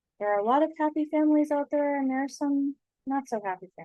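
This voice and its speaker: A woman speaks at a fairly quick pace in a high, dark and mellow voice with lively intonation. The sound is dry and close, with no echo. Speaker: trauma-informed design educator. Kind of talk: presentation with slides. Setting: video presentation with slides.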